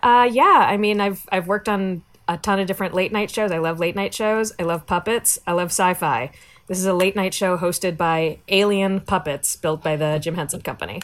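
A woman with a normal speaking voice talks at a fairly quick pace, at a medium pitch with ordinary pitch variation. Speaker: comedian and writer. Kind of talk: casual chat. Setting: video call from home.

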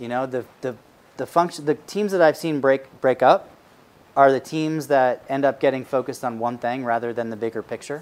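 A man with a medium pitch talks at a fairly quick pace in an ordinary speaking voice. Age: 40s. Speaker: startup evangelist and investor. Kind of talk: interview at live event.

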